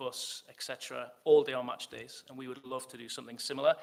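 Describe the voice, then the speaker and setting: A man with a Geordie accent, medium in pitch, at a fairly quick pace. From northern England, Newcastle. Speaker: football club executive. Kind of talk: fan forum Q&A.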